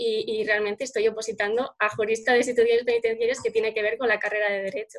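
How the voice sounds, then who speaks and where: Speaking at a very fast pace, a woman keeps a fairly high pitch in flat, monotone intonation. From Spain, Salamanca. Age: 20s. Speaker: law graduate and illustrator. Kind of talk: interview. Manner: halting, frequent repetitions.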